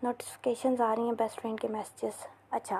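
Fairly high-pitched female speech, dark and mellow in tone. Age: 20s. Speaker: university student podcaster. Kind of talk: casual monologue. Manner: halting.

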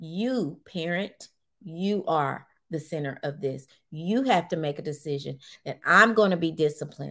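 Recorded very cleanly against a silent background, the voice has a bright, sharp tone and moves at a fairly slow pace with ordinary pitch variation. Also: woman. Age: 50s. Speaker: educator and podcast host. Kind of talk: solo monologue podcast. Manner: frank, preachy emphasis.

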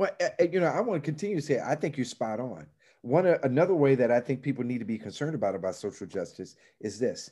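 In an American accent, a man speaks at a fairly quick pace with a dark, mellow tone and very wide pitch swings. The recording is very clean, with a silent background. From Chicago. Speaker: ministry nonprofit leader. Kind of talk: casual interview.

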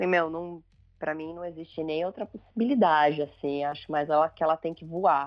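Delivered at a moderate pace, a plain, everyday voice keeps a fairly even intonation while its loudness swings greatly. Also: woman, fairly low pitch for a woman. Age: 40s. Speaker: family documentary photographer. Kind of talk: casual interview chat.

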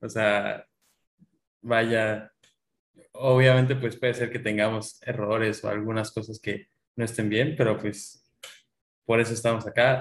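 At a fairly slow pace, a man speaks in a medium pitch. His intonation is monotone and flat. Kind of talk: casual chat.

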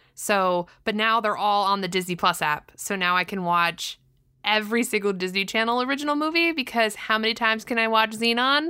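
Bright and sharp in tone, a woman with an American accent talks at a fairly quick pace and fairly high pitch with lively intonation, in a very clean recording with a silent background. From Southern California. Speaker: podcast co-host. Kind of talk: casual chat.

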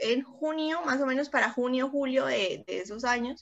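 High-pitched woman's voice at a fairly slow pace, with ordinary pitch variation. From Cúcuta, Colombia. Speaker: bacteriologist and youth service club district representative. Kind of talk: interview.

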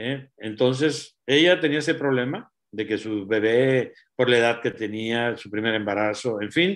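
A plain, everyday voice, its pitch variation ordinary. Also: man. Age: 60s. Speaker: doctor giving health talk. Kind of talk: health talk.

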